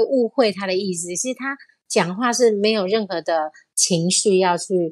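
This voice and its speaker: This woman has an ordinary speaking voice, pitched in the medium range, with ordinary pitch variation. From Taiwan. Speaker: university teacher. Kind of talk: casual chat.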